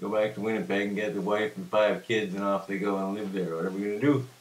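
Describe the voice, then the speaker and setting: Here a man speaks at a fairly quick pace. His pitch is fairly low. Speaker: storyteller. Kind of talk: casual storytelling. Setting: home kitchen.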